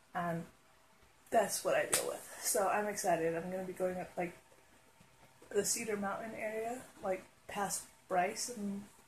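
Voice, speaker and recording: A woman speaks with fairly even intonation and long, frequent pauses. Light background noise can be heard. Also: moderate pace. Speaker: vlogger. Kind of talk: casual vlog chat. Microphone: earbuds.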